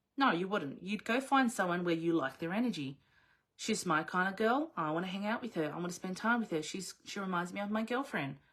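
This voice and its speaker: A woman talks with an Australian accent at a fairly quick pace. Her tone is animated. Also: medium pitch for a woman, lively intonation. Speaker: business coach. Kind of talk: live online coaching session. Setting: video livestream.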